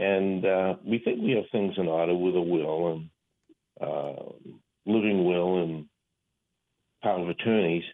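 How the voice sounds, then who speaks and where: In an American accent, a man with a very deep, low pitch talks at a fairly slow pace, with fairly even intonation and long, frequent pauses. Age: 70s. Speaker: caller. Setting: phone call.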